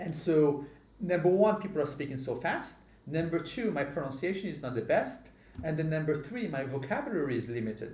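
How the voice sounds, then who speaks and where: A man talks at a fairly quick pace, his fairly high voice carrying lively intonation. Audible room echo and noticeable background noise fill the recording. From Morocco. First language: not English (English is third language). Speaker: podcast host. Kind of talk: casual chat.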